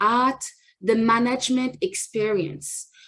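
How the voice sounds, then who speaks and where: A somewhat breathy woman's voice, fairly high in pitch. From France, Paris. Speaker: immigration lawyer. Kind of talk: presentation.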